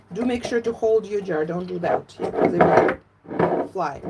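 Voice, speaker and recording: Lively intonation in a Russian accent, with noticeable background noise. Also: woman. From Latvia, Russian-speaking. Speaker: fermentation educator. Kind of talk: live cooking tutorial. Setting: livestream from home. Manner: animated.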